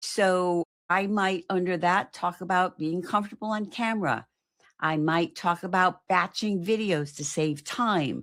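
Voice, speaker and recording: A woman uses a plain, everyday voice at medium pitch with ordinary pitch variation. Her pace is fairly slow, and the recording is very clean with a silent background. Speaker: marketing coach. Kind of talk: live stream talk.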